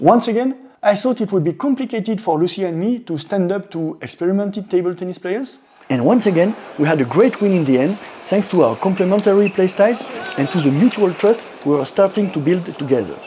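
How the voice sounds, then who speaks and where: Lively intonation and a fairly quick pace in a French accent, over noticeable background noise. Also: man, high pitch for a man. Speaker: amateur table tennis player. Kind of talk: personal vlog narration.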